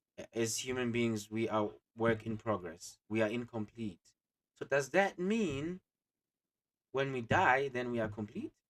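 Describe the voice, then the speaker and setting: The speaker has a non-native accent, a fairly slow pace with long, frequent pauses, and lively intonation. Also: man, medium pitch for a man. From Africa. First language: not English. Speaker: co-host. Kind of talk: casual chat. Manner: halting.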